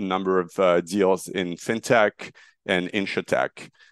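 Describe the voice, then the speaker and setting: A fairly slow, fairly even delivery with a French accent against a quiet background. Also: man, dry, close sound with no echo. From France, Marseille. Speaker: startup founder. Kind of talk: interview.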